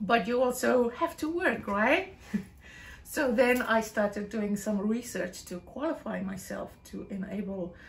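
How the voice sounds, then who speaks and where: Noticeable background noise sits behind a woman who speaks fairly slowly at a fairly high pitch with lively intonation. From South Africa, West Coast. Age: 50s. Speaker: English teacher. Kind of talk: casual interview. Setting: at her home.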